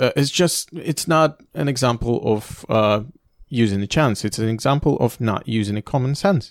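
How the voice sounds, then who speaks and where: A man with a Russian accent speaks at a moderate pace with ordinary pitch variation. The recording is very clean, with a silent background and a dry, close sound with no echo. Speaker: motorsport journalist. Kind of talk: casual chat. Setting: hotel room.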